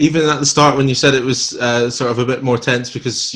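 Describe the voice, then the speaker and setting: A man talks at a very fast pace in a Scottish accent. His intonation stays fairly even. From Scotland. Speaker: podcast host. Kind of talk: casual interview chat.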